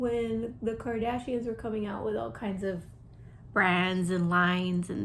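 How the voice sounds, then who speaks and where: A woman speaks quietly and somewhat breathily at a moderate pace, medium pitch and lively intonation, with audible room echo. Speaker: beauty YouTuber. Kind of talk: casual chat while doing makeup. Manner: hesitant, many fillers.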